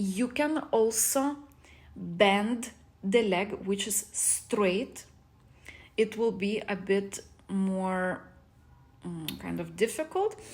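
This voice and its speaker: Somewhat breathy and medium in pitch, a woman speaks at a very slow pace with ordinary pitch variation. Her pauses are long and frequent. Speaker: fitness instructor. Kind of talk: tutorial.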